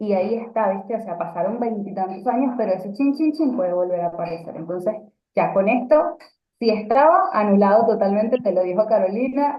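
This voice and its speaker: A woman talks fairly quickly in an ordinary speaking voice. Her pitch is fairly high, with lively intonation. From Venezuela. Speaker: radio announcer and communication coach. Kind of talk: casual interview chat.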